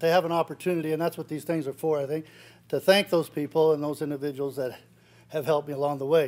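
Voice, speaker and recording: The speaker is a man. His intonation is fairly even. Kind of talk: acceptance speech. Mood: grateful, lightly joking. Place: hall. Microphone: podium.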